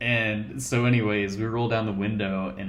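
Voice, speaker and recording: The speaker has a Colorado accent and a moderate pace. Pitch varies in an ordinary way. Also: man. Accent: Colorado, American. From Colorado, USA. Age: 20s. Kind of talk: casual talk to camera.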